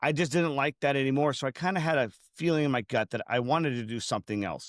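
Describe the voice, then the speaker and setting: Very clean and dry, with a silent background and no echo, this close recording has a man talking in an ordinary speaking voice at medium pitch, with ordinary pitch variation and a fairly quick pace. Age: 30s. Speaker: furniture refinisher and business owner. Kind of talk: interview.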